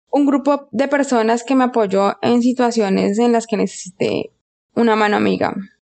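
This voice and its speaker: Fairly high in pitch, a woman with a plain, everyday voice speaks at a moderate pace with very even loudness and fairly even intonation. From Colombia. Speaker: geologist. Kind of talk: interview.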